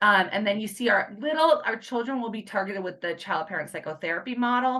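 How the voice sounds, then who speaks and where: A woman's bright, sharp voice at medium pitch, fairly quick in pace. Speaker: clinical social worker presenting a program. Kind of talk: conference presentation. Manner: fast.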